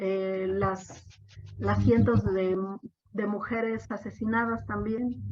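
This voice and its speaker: Audible room echo fills the space. Within it, the woman's speech goes very slowly. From Mexico, Oaxaca. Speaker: discussion moderator. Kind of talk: panel discussion.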